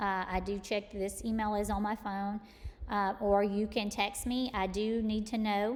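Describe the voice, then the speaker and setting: Woman at a medium pitch with an East Texas accent, monotone and flat in intonation, at a fairly slow pace. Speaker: college math instructor. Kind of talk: tutorial. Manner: casual, with many fillers.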